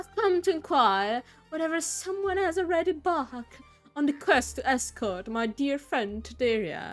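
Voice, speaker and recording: A gruff, put-on character voice at a moderate pace, with faint music in the background. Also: woman, high pitch for a woman. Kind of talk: archaic, quest-style diction.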